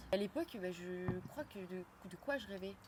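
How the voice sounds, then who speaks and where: Vocal fry runs through the voice, which has ordinary pitch variation. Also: woman. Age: 20s. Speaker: photographer. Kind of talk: interview. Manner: casual, hesitant with many fillers.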